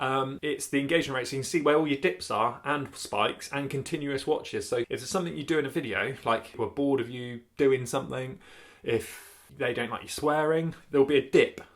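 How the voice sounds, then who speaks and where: A man with a fairly high pitch speaks with a British accent at a fairly quick pace. His intonation is fairly even, and he hardly pauses at all. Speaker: YouTuber vlogger. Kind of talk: casual vlog chat. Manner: fast.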